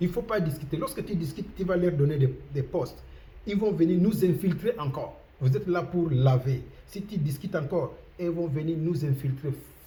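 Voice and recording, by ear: At a moderate pace and with few pauses, a man talks in a fairly high, dark and mellow voice with ordinary pitch variation and audible room echo.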